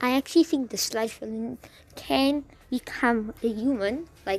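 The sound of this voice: An unforced reading voice, its pitch shifting an ordinary amount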